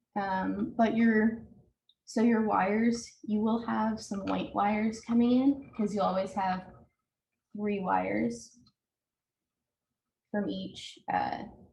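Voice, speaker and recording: With audible room echo, a woman talks at a very slow pace, leaving long, frequent pauses. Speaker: home repair presenter. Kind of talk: tutorial.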